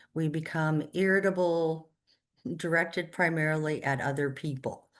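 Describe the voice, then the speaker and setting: At a moderate pace, a woman uses an unremarkable speaking voice with a fairly low pitch and ordinary pitch variation against a quiet background. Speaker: social work counselor. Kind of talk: online workshop presentation.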